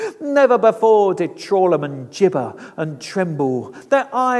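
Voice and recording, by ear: The speaker reads aloud. Their voice sounds natural.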